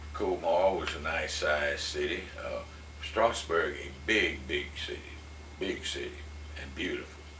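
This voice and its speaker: Against noticeable background noise, a man speaks at a fairly slow pace with big swings in loudness. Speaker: war veteran. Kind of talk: interview answer.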